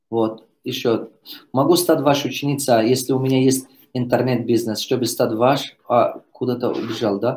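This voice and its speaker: Here is a man with an unremarkable speaking voice at a medium pitch. He keeps a moderate pace and fairly even intonation. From Tajikistan. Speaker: business coach. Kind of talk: live Q&A.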